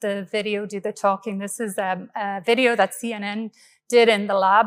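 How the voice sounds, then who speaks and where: A woman with an Irish accent speaks at a fairly quick pace in a fairly high pitch, on a very clean recording with a silent background. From Ireland, Galway. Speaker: engineering professor. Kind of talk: keynote lecture. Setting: conference stage with audience.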